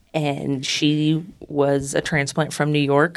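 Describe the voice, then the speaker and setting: Very clean and silent in the background, this recording features a woman with an American accent. Her pitch is very deep and low. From northeastern Ohio. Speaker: wedding officiant. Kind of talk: interview.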